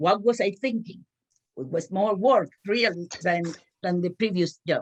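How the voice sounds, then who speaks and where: A woman talks with a Spanish accent and ordinary pitch variation. The sound is dry and close, with no echo. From Cuba. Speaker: small business owner. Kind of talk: panel discussion. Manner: halting.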